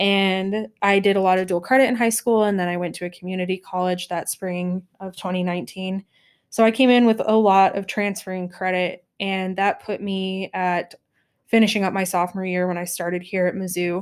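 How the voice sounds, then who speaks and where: A woman with a medium pitch and an ordinary speaking voice talks at a moderate pace. Her intonation is fairly even, and the recording is very clean with a silent background. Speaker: university student. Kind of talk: interview.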